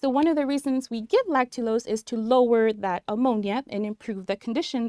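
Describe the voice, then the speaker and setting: A woman with a Spanish accent speaks at a moderate pace and fairly high pitch, with ordinary pitch variation. The recording is very clean, with a silent background, and the sound is dry and close with no echo. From New Mexico. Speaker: nurse educator. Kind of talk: live-stream tutorial. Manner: animated.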